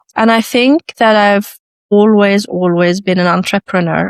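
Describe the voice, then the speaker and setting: A woman with an Arabic accent, medium pitch, fairly even intonation and a moderate pace, in a dry, close sound with no echo. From Iraq, moved to Sweden at eleven. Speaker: lawyer. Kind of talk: interview.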